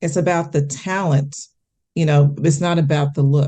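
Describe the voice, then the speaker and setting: A woman with an American accent speaks in a very deep, low voice with a dark, mellow tone. Her intonation stays fairly even at a moderate pace against a quiet background. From US Midwest, Kansas City, Missouri. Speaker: actress and television correspondent. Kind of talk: interview.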